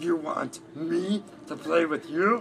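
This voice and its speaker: Clear background noise sits behind a man's put-on character voice, which is growling, raspy and high in pitch. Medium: read story.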